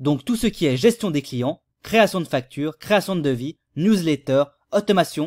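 A man talks in a normal speaking voice, pitched fairly high, at a moderate pace with lively intonation. The sound is dry and close with no echo, and the recording is very clean over a silent background. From Switzerland. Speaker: YouTube tutorial creator. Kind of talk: tutorial. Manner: casual.

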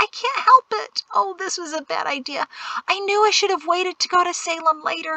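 In a put-on character voice, a woman talks at an extremely high pitch with a bright, sharp tone. There is vocal fry and ordinary pitch variation. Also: moderate pace, dry, close sound with no echo.

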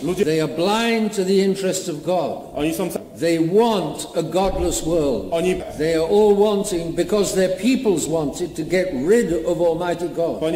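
A man's high-pitched voice at a fairly slow pace, with ordinary pitch variation, audible room echo and light background noise. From Britain. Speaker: bishop. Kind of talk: sermon. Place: church. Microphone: camera far.

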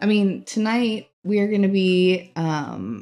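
A soft-spoken woman talks with ordinary pitch variation on a very clean recording with a silent background. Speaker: crossword livestreamer. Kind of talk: casual chat.

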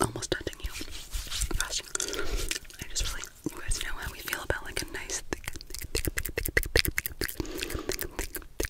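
A woman whispers at a fairly slow pace. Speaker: ASMR creator. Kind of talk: soft ASMR role-play talk. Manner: soft, close ASMR murmur. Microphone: phone near.

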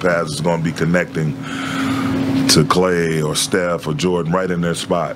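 A man talks at a moderate pace, with loud background noise around him. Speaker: basketball head coach. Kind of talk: press conference answers. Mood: calm, thoughtful after a loss. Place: hall.

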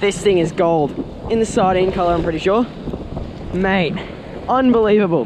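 Over clear background noise, a man talks at a moderate pace with a high pitch and ordinary pitch variation.

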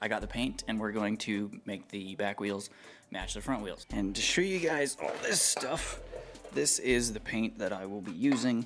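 Faint music plays in the background. A man speaks at a moderate pace. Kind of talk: casual vlog chat. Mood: lighthearted, joking. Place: garage.

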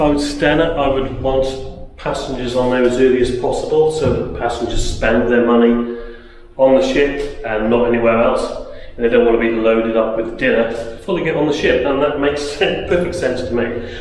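There is audible room echo and light background noise behind this man. He talks at a fairly quick pace with fairly even intonation. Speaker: travel vlogger. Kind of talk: casual vlog chat. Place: station. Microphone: phone near.

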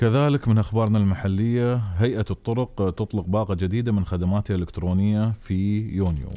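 A man talks with a dark, mellow tone, ordinary pitch variation, and very even loudness. He hardly pauses at all. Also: fairly low pitch for a man, fairly quick pace. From UAE. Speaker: radio and TV host. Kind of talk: live call-in show. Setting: studio. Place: studio. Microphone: studio mic.

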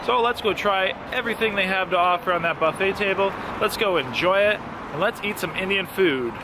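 A man's raised, projected voice at a fairly quick pace, dry with no echo, over noticeable background noise. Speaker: food vlogger. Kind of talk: casual vlog chat. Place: street. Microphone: phone near.

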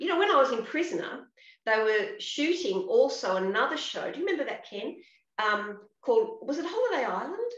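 A woman with an Australian accent speaks at a high pitch and a fairly quick pace, with very wide pitch swings. The background is quiet, though room echo is audible. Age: 60s. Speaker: actress. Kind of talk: casual chat. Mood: warm, animated. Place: home room. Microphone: video call.

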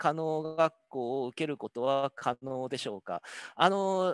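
The intonation is lively, and the sound is dry with no echo over a quiet background. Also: man. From Hokkaido, Japan. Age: 50s. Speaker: professor. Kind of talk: lecture. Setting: video call. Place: office. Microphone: headset.

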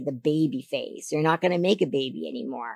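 A woman with very deep, low pitch and vocal fry talks at a fairly quick pace. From Canada. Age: 50s. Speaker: figure competitor. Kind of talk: interview. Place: studio. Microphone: studio mic.

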